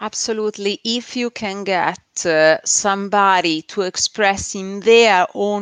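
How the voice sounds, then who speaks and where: This is a woman speaking. She has a strong Italian accent. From Italy. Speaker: SEO agency founder. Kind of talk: interview on a live stream. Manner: hesitant, many filler sounds.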